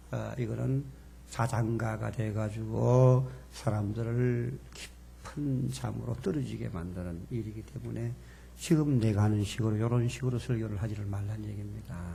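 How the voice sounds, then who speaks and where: Speaking at a fairly slow pace, a man with a fairly low pitch makes very wide pitch swings amid audible room echo. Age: 70s. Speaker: seminary professor. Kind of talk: lecture. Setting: church seminar with audience.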